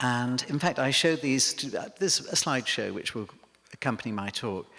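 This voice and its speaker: A man with an English accent speaks at a fairly quick pace. His medium pitch has a bright, sharp tone. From northern England, Cheshire near Liverpool. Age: 60s. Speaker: milliner. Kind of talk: public lecture. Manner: hesitant, many fillers.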